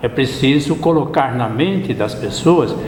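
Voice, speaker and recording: Lively in intonation, a man with a fairly high pitch speaks fairly slowly, with audible room echo and noticeable background noise. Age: 70s. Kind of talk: interview.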